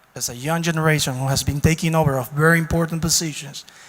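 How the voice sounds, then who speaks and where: Over noticeable background noise, the voice moves at a fairly quick pace with fairly even intonation. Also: man. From Dominican Republic. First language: Spanish. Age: 30s. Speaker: diplomat. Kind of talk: audience question.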